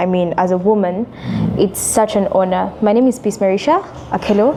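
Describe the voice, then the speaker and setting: Noticeable background noise sits behind a woman talking at a moderate pace with ordinary pitch variation. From Uganda. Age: young. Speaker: activist and civic educator. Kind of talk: interview. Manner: articulate.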